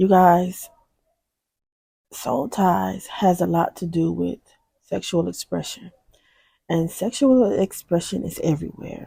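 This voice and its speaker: Soft-spoken and very slow, a woman speaks with long, frequent pauses on a very clean recording with a silent background. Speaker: faith-based video host. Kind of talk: inspirational talk.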